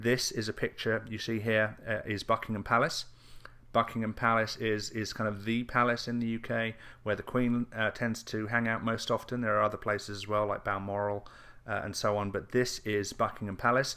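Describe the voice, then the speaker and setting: On a very clean recording with a silent background, a man with an English accent speaks at a moderate pace and medium pitch, his bright, sharp tone held in a monotone, flat intonation. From England. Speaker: internet marketer. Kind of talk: casual video update. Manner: halting, many fillers and repeats.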